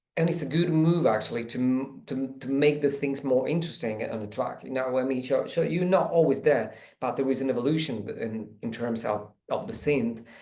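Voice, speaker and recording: Speaking at a fairly quick pace, a man has a medium pitch, a dark, mellow tone and ordinary pitch variation, with audible room echo. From Italy. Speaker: electronic music producer. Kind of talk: track feedback discussion. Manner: halting, repeats words.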